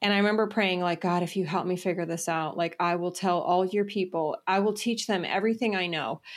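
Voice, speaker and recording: A woman's medium-pitched, plain, everyday voice at a fairly quick pace, with fairly even intonation, on a very clean recording with a silent background. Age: 40s. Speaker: entrepreneur and business mentor. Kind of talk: interview.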